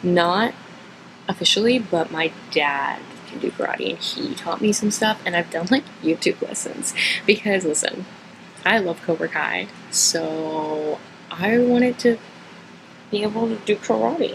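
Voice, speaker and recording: A woman with an American accent speaks at a fairly slow pace and medium pitch, with lively intonation. Long, frequent pauses and noticeable background noise are present. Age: 20s. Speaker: vlogger. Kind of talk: casual Q&A monologue. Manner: casual, hesitant with fillers.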